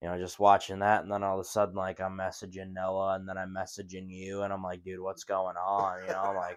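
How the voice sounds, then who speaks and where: A man with an Upper Midwest accent, very deep and low in pitch, monotone and flat, fairly quick with hardly any pauses, over a quiet background. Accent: Upper Midwest American. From Wisconsin. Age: young. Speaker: podcast co-host. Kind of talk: casual chat.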